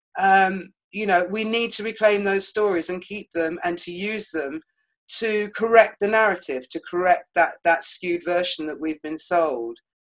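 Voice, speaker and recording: A woman speaks with a British accent at a moderate pace. Her pitch is medium, with ordinary variation. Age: 60s. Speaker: author and historian. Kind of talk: podcast interview.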